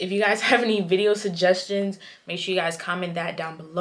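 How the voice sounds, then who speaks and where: A plain, everyday voice with an American accent at a fairly quick pace. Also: woman. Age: 20s. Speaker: vlogger. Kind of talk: vlog recap talking to camera. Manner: casual, filler-heavy.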